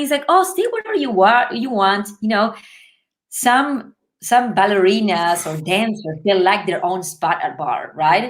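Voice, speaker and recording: Speaking with a Spanish accent, a woman uses a medium pitch and lively intonation at a moderate pace. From Uruguay, Montevideo. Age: 30s. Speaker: ballet dancer. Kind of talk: interview storytelling. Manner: animated.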